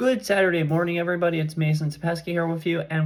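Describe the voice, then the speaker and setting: Speaking with an American accent, a man with a fairly high pitch keeps his intonation fairly even. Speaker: high school sports commentator. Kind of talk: sports recap vlog. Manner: fast; casual, with filler words.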